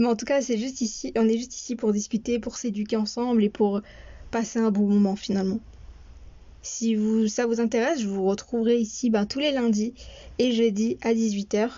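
A woman's fairly high, somewhat breathy voice holds fairly even intonation at a moderate pace. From France. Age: 20s. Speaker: podcast host. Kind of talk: podcast monologue.

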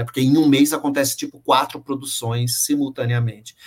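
A somewhat breathy man at a moderate pace. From São Paulo, East Zone. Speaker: opera director and lighting designer. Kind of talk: interview. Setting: video call from home office.

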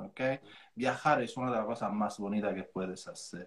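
A man speaks with an Italian accent. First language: Italian (speaking Spanish). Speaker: real estate coach and trainer. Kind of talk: casual interview on an Instagram live.

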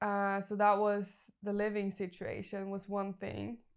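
On a very clean recording with a silent background, a woman with a Norwegian accent speaks very slowly in a flat monotone. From Norway. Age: 20s. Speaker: life coach. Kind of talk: interview conversation; guided visualization.

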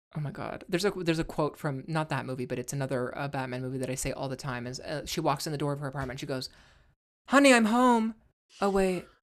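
A woman at a very fast pace with a very deep, low pitch and lively intonation, in a very clean recording with a silent background. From rural backwoods area. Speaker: actor and drag performer. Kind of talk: casual chat.

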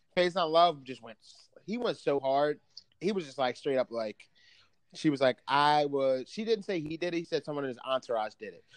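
A man with a normal speaking voice talks at a fairly quick pace and fairly high pitch, with big swings in loudness. The sound is dry and close, with no echo. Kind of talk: casual banter podcast chat. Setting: remote call recording. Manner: joking, casual, profane.

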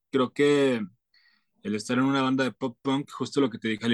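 At a fairly quick pace, a man in a normal speaking voice and medium pitch is heard in a dry, close sound with no echo. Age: 20s. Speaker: singer-songwriter. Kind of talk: interview.

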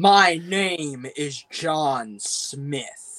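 A fairly high-pitched, put-on character voice from a man. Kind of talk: stiff dubbed delivery. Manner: cartoonish, over-the-top.

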